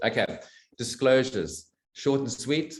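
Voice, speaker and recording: Vocal fry marks this man's medium-pitched voice. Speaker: network marketing distributor, former financial planner. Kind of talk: product presentation on video call. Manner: fast.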